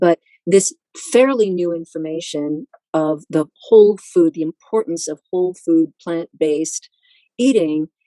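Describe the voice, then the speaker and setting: At a moderate pace, a woman speaks with a fairly low pitch and a dark, mellow tone in a dry, close sound with no echo. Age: 70s. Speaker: author and speaker on diet and diabetes. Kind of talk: interview.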